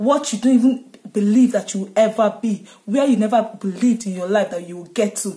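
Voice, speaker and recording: A woman speaks at a fairly high pitch. The background is quiet. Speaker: content creator. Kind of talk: fervent prayer and blessing, delivered like a rousing pep talk to followers. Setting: video blog to camera. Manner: exuberant, declarative, rhythmic repetition, rising fervor; upbeat and energetic. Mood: joyful, celebratory. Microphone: phone near.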